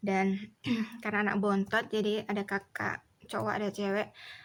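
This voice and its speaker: A woman talks at a medium pitch with a Javanese accent. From Indonesia, Solo (Central Java). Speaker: vlogger. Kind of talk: casual chat.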